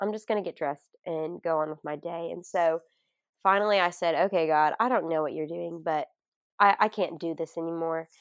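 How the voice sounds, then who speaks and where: A woman speaks in a Southern US accent at a fairly low pitch and a fairly quick pace. The recording is very clean with a silent background, and the sound is dry and close with no echo. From Arkansas. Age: 20s. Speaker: college student and speaker. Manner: animated, excitable.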